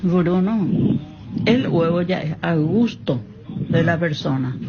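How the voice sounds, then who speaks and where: A woman's fairly low voice at a very slow pace, lively intonation, audible room echo and noticeable background noise. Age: 70s. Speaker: listener voice message. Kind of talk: voice message.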